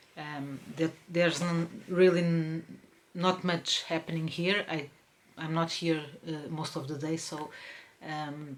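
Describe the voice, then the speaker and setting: Speaking very slowly with a Portuguese accent, a woman uses a fairly low pitch and fairly even intonation amid noticeable background noise. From Portugal, Lisbon. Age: 40s. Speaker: crafts podcaster. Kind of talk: casual podcast monologue. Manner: hesitant, many fillers.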